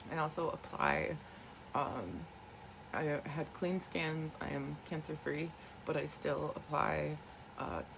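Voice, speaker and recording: A soft-spoken woman talks at a very slow pace with long, frequent pauses. Room echo is audible. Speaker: wellness vlogger. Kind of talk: casual chat. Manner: hesitant, many fillers.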